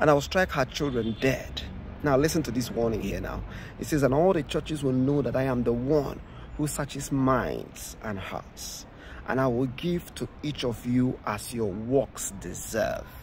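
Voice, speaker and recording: Over light background noise, a man with a somewhat breathy voice speaks at a moderate pace with ordinary pitch variation, the sound dry with no echo. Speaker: preacher. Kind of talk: scripture reading with sermon commentary. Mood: earnest, warning tone. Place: open country. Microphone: phone near.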